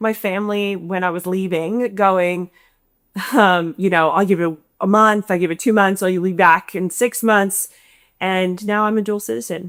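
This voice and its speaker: In a very clean recording with a silent background, a woman speaks in an American accent. Her pitch is medium and her pace moderate. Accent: American accent noted in Australia. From United States. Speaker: company founder and CEO. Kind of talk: interview.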